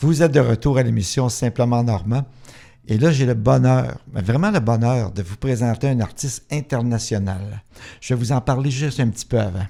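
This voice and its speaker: A man talks at medium pitch and a moderate pace with a dark, mellow tone. His pitch variation is ordinary, and the recording is very clean with a silent background. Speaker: radio host. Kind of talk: radio interview.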